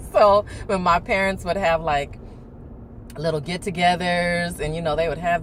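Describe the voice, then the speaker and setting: Amid noticeable background noise, a woman speaks in an animated tone at a moderate pace. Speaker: video blogger. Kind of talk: casual chat.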